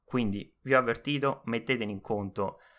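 The man's voice is bright and sharp, with a nervous tone and fairly even intonation. The recording is very clean, with a silent background. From Rome, Italy. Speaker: podcaster and self-publishing author. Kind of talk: solo podcast monologue, introduction. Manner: nervous, halting, with fillers.

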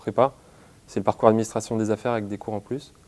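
A man talks at a very fast pace. His dark, mellow tone stays monotone and flat. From western France, Nantes; western France. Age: 20s. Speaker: university student. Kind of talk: interview; interview answer. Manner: halting, with frequent hesitations. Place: office. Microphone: lapel.

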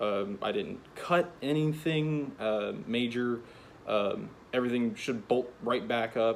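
This man talks at a fairly slow pace with ordinary pitch variation over light background noise. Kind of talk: casual vlog chat. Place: garage. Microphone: phone near.

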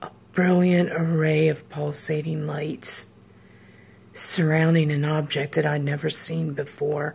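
Quiet and fairly slow, a woman speaks in a very deep, low pitch with a monotone, flat intonation. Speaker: storyteller. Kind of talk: horror story narration. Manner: suspenseful, hushed storytelling. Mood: serious, reflective. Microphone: phone near.

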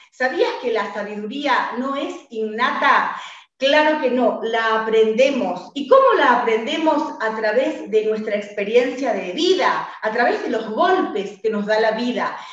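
Fairly slow speech with an Argentine accent, lively intonation and an animated, warm tone, in a room with audible echo. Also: woman, high pitch for a woman. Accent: Argentine Rioplatense. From Argentina. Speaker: radio host and author coach. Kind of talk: radio interview, motivational. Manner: animated, warm, enthusiastic. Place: home room. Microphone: webcam.

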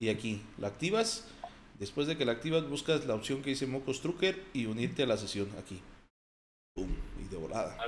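With a Mexican accent and an animated tone, the speaker moves at a moderate pace through very wide pitch swings and long, frequent pauses. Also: man, medium pitch for a man. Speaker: gaming streamer. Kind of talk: casual chat.

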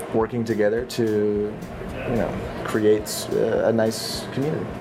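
A man speaks at a moderate pace with noticeable background noise behind him. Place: cafe.

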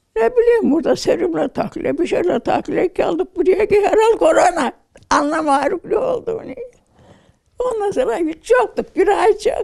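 Against a quiet background, a woman talks at a moderate pace in an extremely high pitch with very wide swings. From Trabzon, Turkey. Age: 80s+. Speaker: interviewee, recovered patient. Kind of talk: interview answer. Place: home room. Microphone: handheld.

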